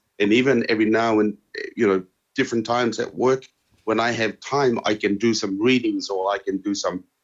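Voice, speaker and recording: A man with a Tongan accent speaks at a medium pitch. His pace is fairly quick and his intonation fairly even. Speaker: interviewee sharing life experience. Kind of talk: interview answers. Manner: halting, many fillers and repetitions.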